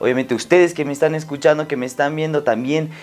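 A man talks at a very fast pace. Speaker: podcast host. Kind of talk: casual interview.

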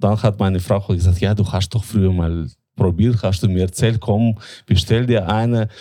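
The voice has a dark, mellow tone with fairly even intonation and very even loudness at a moderate pace. The recording is very clean, with a silent background. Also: man, fairly low pitch for a man. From Latvia. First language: Russian (speaking German). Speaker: tobacco importer. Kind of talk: interview.

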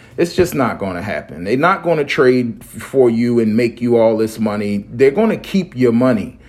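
In a normal speaking voice, a man talks at a medium pitch and a moderate pace, his intonation lively. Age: 40s. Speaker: crypto podcast host. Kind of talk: solo monologue show. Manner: rambling, filler-heavy.

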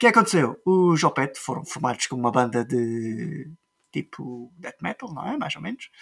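A man speaks at a medium pitch, his voice making very wide pitch swings. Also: moderate pace. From Azores, Portugal. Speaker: podcast host. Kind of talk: casual chat.

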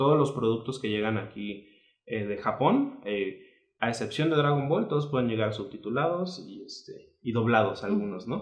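With audible room echo, a man of medium pitch speaks at a moderate pace in a somewhat breathy voice with lively intonation. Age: 30s. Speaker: lawyer, anime fan. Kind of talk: casual chat.

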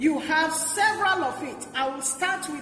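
Audible room echo and noticeable background noise surround this recording. A woman talks at a moderate pace in a raised, projected voice. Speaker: pastor. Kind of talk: sermon.

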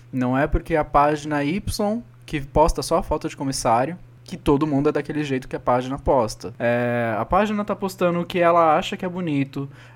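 A man with an unremarkable speaking voice, fairly high pitch and ordinary pitch variation, at a fairly quick pace, in a very clean recording with a silent background. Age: 30s. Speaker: podcast co-host, flight attendant. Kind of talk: casual chat.

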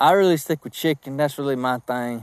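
A man speaks with a slight Southern US accent and ordinary pitch variation. The recording is very clean with a silent background, and the sound is dry and close with no echo. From South Georgia, US. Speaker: podcast host, sales coach. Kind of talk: solo podcast monologue. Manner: casual, chatty, animated.

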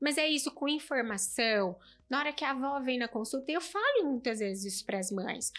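A woman's high-pitched voice at a fairly quick pace, with lively intonation. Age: 40s. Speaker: pediatrician. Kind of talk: casual chat.

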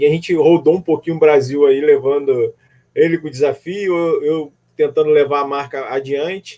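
A man's fairly high, dark and mellow voice with fairly even intonation. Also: moderate pace. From Rio de Janeiro. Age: 40s. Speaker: amateur runner and social media creator. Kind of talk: casual interview on a live stream.

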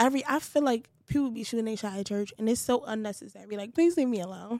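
This woman speaks in a Brooklyn accent at a fairly quick pace. Her pitch is high and her intonation lively. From Brooklyn, New York (Bed-Stuy). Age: 20s. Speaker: podcast co-host, singer-songwriter. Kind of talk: casual chat.

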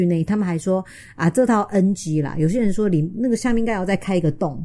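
Talking at a very fast pace, a woman keeps a medium pitch and lively intonation. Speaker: sex and relationships podcast host, author. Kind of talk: casual chat.

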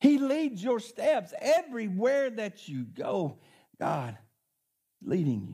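A man talks at a very slow pace with an Arkansas accent. His loudness swings widely, and he leaves long, frequent pauses. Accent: Southern US (Arkansas). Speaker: pastor. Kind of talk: sermon. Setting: church with congregation.

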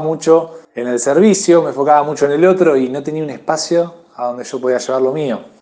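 Pitched fairly high, a man uses a normal speaking voice with fairly even intonation. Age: 30s. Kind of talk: testimony.

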